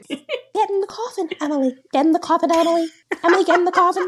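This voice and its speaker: A squeaky, extremely high-pitched put-on character voice in a British accent at a very fast pace. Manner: menacing, commanding.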